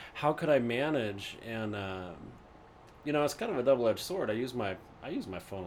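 With lively intonation and a fairly quick pace, a man speaks in a plain, everyday voice at a medium pitch. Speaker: podcast guest, co-worker of host. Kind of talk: casual chat.

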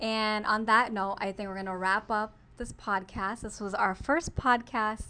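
Using an American accent, a woman talks at a moderate pace with hardly any pauses, her fairly high voice bright and sharp and her intonation fairly even. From United States, born in Pakistan. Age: 20s. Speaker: podcast co-host. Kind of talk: casual chat.

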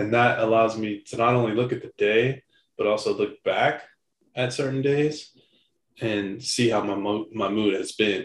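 Here a man with an unremarkable speaking voice talks at a moderate pace, medium in pitch, with fairly even intonation. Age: 30s. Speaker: podcast co-host. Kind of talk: casual chat.

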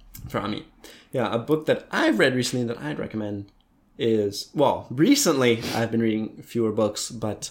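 This speaker has a plain, everyday voice and an American accent. The pace is moderate, with ordinary pitch variation. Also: man, medium pitch for a man. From United States. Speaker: podcast co-host. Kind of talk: casual chat.

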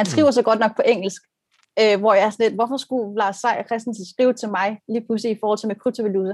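Delivered at a very fast pace, the speech has fairly even intonation and a dry, close sound with no echo. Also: woman, fairly high pitch for a woman. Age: 30s. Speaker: brand designer. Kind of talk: casual discussion on video call. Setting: video call. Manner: repetitive hesitations.

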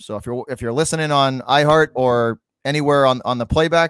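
A man with an American accent and a plain, everyday voice, fairly high in pitch with ordinary pitch variation, fairly quick, on a very clean, dry, close recording with no echo and a silent background. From Massachusetts. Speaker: sports podcast host. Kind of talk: casual chat. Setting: live stream with chat.

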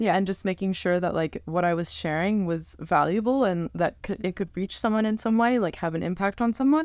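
A normal speaking voice at a fairly quick pace, with ordinary pitch variation and hardly any pauses. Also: woman, medium pitch for a woman. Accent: American. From US, Northern Virginia. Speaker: travel photographer and content creator. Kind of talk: casual interview chat. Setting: home recording in a bedroom.

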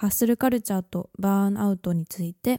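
Speaking at a moderate pace, a woman with a medium pitch and a dark, mellow tone keeps her intonation fairly even in a very clean, silent recording with a dry, close sound and no echo. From Japan. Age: 20s. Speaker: podcast host. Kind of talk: casual monologue. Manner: chatty.

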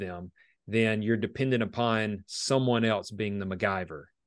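Against a quiet background, a man with a medium pitch and ordinary pitch variation speaks in a plain, everyday voice. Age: 30s. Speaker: restoration business owner. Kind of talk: casual interview chat.

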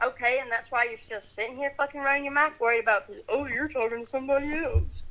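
A woman talks very fast in a raised, projected voice with a bright, sharp tone. Her pitch is high and her intonation fairly even. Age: 20s. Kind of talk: heated argument.

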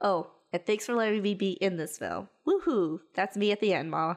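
A woman's ordinary speaking voice with an American accent, ordinary pitch variation and a moderate pace, over a quiet background. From Texas. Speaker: podcast co-host. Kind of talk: casual chat, movie review.

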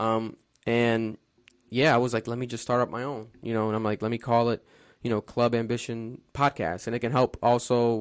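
A man with an American accent, medium pitch and flat, monotone intonation, talking at a fairly quick pace in a very clean recording with a silent background. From Providence, Rhode Island, US. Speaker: podcast host and social media influencer. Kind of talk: casual interview. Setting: home studio.

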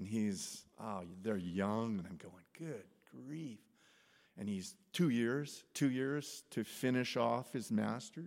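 Very slow and with lively intonation, a man speaks with big swings in loudness. The recording is very clean, with a silent background. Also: medium pitch for a man. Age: 70s. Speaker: pastor. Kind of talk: sermon. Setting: church. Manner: halting.

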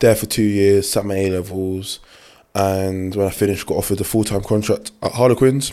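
A man with a London accent talks at a fairly quick pace in a monotone, flat intonation. His fairly low voice has a dark, mellow tone. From London (Clapham). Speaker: rugby player. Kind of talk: casual chat.

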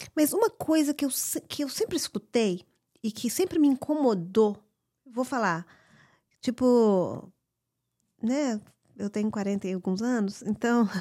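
The voice has a dark, mellow tone and lively intonation, moving at a fairly slow pace with long, frequent pauses. The recording is very clean, with a silent background. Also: woman, fairly high pitch for a woman, dry, close sound with no echo. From Brazil. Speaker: podcast co-host. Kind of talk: casual chat. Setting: home backyard. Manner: shy, soft-spoken.

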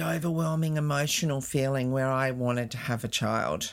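A woman's very deep, low voice in an Australian accent, lively in intonation, at a moderate pace, on a very clean recording with a silent background. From Australia, northern beaches of Sydney, NSW. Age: 60s. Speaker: cancer survivor sharing life story. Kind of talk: interview.

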